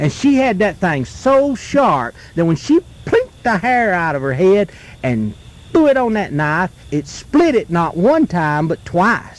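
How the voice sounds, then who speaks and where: A man speaks at a high pitch and a fairly slow pace, his pitch swinging very widely. Noticeable background noise sits behind him. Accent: American. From North Carolina. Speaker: folklorist, storyteller. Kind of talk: folk tale told around a campfire. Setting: outdoors, live at a campfire in the woods.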